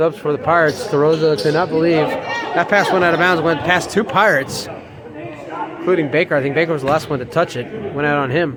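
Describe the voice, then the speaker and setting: Amid crowd noise and audible room echo, a man with a fairly high pitch speaks very fast with ordinary pitch variation. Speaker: basketball play-by-play announcer. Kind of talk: live sports commentary. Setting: high school gym.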